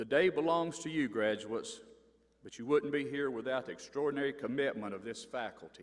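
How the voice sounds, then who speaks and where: With an Appalachian accent, a man talks using lively intonation. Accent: Appalachian Southern US. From North Carolina mountains. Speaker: university board member, former sheriff. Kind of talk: commencement speech. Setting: stage with audience.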